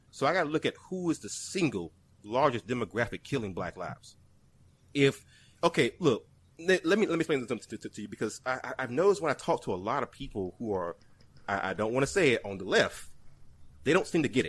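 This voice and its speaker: Very wide pitch swings, vocal fry, and a very fast pace. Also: man, medium pitch for a man, very clean recording, silent background. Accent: American. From South Carolina, Columbia area. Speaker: YouTuber, podcast guest. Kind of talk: casual chat. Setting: podcast recording. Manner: animated.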